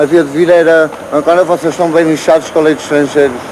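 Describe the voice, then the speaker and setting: Over noticeable background noise, a man with a fairly high voice speaks at a moderate pace with fairly even intonation. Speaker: passerby. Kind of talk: heated street argument.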